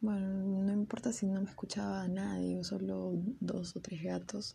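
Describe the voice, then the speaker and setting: A woman speaking at a very slow pace. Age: 20s. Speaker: university student and podcaster. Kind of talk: casual solo podcast monologue. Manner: hesitant, with fillers and repetitions.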